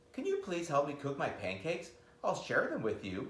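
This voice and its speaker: A man's put-on character voice, high in pitch, at a moderate pace with slight echo. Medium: read story. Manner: polite, soft-spoken.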